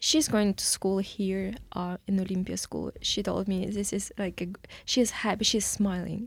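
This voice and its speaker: Talking at a moderate pace, a woman uses fairly even intonation. Her medium-pitched voice is somewhat breathy. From Ukraine, Kyiv. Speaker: refugee, case manager. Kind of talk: interview testimony. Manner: halting, many fillers.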